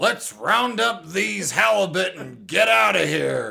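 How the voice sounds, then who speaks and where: This put-on character voice is raspy. It moves at a fairly slow pace. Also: man, fairly high pitch for a man. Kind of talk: nautical, intellectual.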